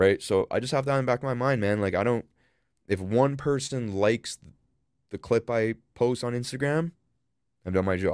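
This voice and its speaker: Speaking at a moderate pace with a medium pitch and ordinary pitch variation, a man leaves long, frequent pauses and makes big swings in loudness, on a very clean recording with a silent background and a dry, close sound with no echo. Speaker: podcaster and content creator. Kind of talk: casual chat. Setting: studio.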